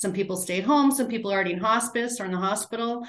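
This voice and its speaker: A woman speaks in a plain, everyday voice at medium pitch with ordinary pitch variation. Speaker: end-of-life doula. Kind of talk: interview conversation.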